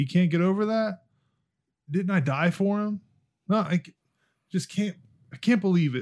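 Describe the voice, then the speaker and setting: Taking long, frequent pauses, a man speaks at a moderate pace with big swings in loudness. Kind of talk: casual chat.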